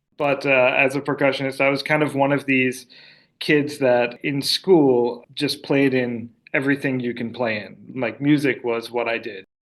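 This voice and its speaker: This man has an ordinary speaking voice and an American accent, pitched in the medium range. He keeps a moderate pace and fairly even intonation. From United States. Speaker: orchestra conductor. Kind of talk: interview.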